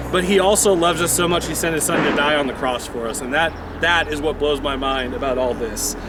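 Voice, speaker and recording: A man speaks with a fairly high pitch and ordinary pitch variation. Noticeable background noise and audible room echo are present. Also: fairly quick pace. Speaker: video blogger. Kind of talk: faith reflection; casual vlog commentary. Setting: outdoors on a rooftop. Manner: animated.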